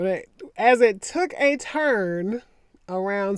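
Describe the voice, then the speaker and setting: The speaker has a Southern US accent and lively intonation. The background is quiet. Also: woman. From US South. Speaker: attorney and commentary vlogger. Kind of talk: casual commentary monologue.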